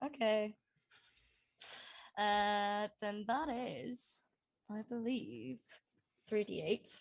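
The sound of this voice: The speech moves at a very slow pace with vocal fry. Pitch varies in an ordinary way. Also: woman, medium pitch for a woman.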